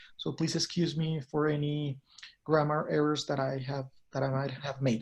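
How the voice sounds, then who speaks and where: In a Spanish accent, a man talks at a moderate pace with a fairly high pitch. His delivery is somewhat breathy, with monotone, flat intonation. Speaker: cruise industry consultant. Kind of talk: product presentation.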